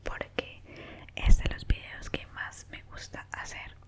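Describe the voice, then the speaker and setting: With noticeable background noise underneath, the whispering goes on at a very slow pace. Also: woman. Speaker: ASMR creator. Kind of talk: casual talk to camera. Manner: whispered.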